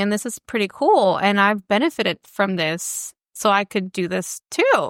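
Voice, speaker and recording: On a very clean recording with a silent background, a woman speaks with a fairly high pitch and a bright, sharp tone. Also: dry, close sound with no echo. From Mexican border, Tijuana. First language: Spanish. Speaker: education scholar. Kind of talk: interview conversation. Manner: casual, filler-heavy.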